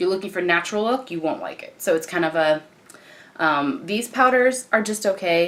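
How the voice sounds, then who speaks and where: A woman with a fairly low pitch talks at a very fast pace over noticeable background noise. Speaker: beauty vlogger. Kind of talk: tutorial. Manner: casual.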